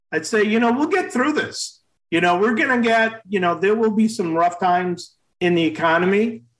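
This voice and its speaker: The speaker keeps a moderate pace. Their pitch varies in an ordinary way. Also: man. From Maine, US. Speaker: dentist and practice consultant. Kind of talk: interview.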